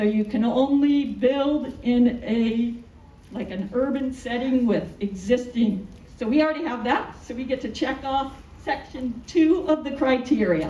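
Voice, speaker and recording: A loud, high-pitched woman's voice at a fairly slow pace, with ordinary pitch variation, audible room echo and noticeable background noise. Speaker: architect. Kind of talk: public presentation.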